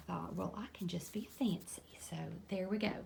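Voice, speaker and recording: A woman is speaking. She talks with a Kentucky accent. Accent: US Southern (Kentucky). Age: 50s. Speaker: lifestyle vlogger and eBay reseller. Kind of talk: casual vlog talk.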